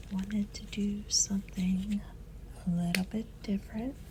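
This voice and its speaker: Noticeable noise sits in the background. The voice over it is soft-spoken. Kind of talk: ASMR voiceover while painting.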